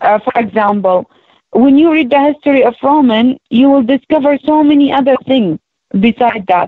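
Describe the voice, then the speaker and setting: With an Arabic accent, a woman talks at a moderate pace. Her voice sits high in pitch with ordinary pitch variation. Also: very even loudness. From Palestinian, raised in Jordan and Saudi Arabia. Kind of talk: interview. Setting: radio show. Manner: halting.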